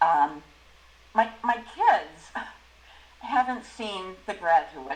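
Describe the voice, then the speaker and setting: A woman speaks over noticeable background noise. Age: 60s. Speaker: discussion group member. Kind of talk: group discussion.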